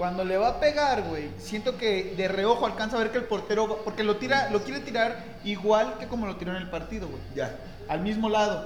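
In a Mexican accent, a man with a high pitch talks with hardly any pauses, amid noticeable background noise and audible room echo. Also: ordinary pitch variation, moderate pace. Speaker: football podcast host. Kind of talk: casual chat.

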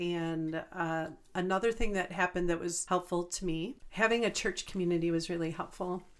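Speaking at a moderate pace, a woman with a fairly low pitch and an American accent has an unremarkable speaking voice. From Chicago suburbs, US. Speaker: small business owner. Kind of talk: casual chat.

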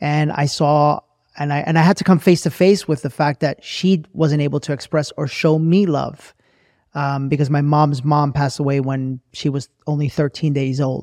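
A man with a normal speaking voice talks at a moderate pace and a fairly high pitch. His intonation is fairly even, and the sound is dry and close with no echo. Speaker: podcast host. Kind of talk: casual interview chat.

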